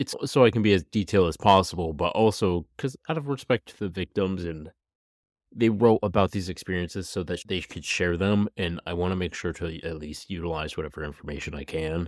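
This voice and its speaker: The sound is dry and close with no echo, on a very clean recording with a silent background. Speech moves at a moderate pace with ordinary pitch variation. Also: man. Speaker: true crime podcast host. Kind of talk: podcast storytelling. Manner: casual, conversational.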